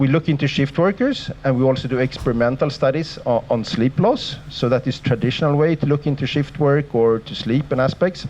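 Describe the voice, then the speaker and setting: The speech comes at a fairly quick pace with fairly even intonation. Noticeable background noise is present. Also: man, fairly high pitch for a man, hardly any pauses. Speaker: sleep researcher, professor. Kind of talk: lecture. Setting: lecture hall with audience. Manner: fast.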